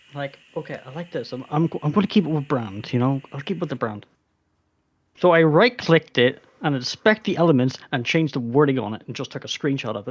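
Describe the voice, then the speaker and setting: Speech comes at a fairly quick pace with a Northern Irish accent. The background is quiet. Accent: Northern Irish, less strong Irish. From Northern Ireland. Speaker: team member. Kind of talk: casual chat.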